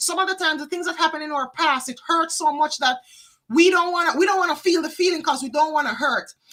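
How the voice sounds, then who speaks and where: Raised and projected, a woman's high-pitched voice with a bright, sharp tone and a Jamaican accent rushes along very fast with ordinary pitch variation. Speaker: psychic card reader. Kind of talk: live tarot reading. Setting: livestream.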